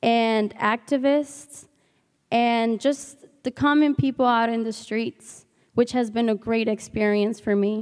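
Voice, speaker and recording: Speaking with a Spanish accent, a woman talks at a very slow pace with a fairly high pitch and fairly even intonation. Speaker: student intern giving testimonial. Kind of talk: commencement testimonial speech. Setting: stage with audience.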